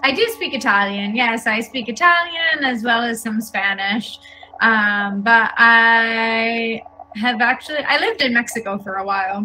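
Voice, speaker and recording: A woman with a New York accent speaks at a fairly slow pace in a fairly high pitch, her pitch varying in an ordinary way, with music playing in the background. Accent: New York American. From New York, US. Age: 30s. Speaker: English teacher. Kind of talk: online language lesson.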